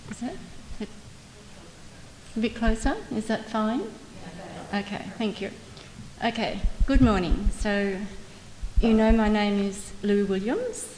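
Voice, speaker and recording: Speaking at a very slow pace with an Australian accent, this voice keeps a fairly even intonation, with long, frequent pauses and big swings in loudness. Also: woman, fairly high pitch for a woman. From Australia, Melbourne. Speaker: mesothelioma patient and advocate. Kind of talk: testimony.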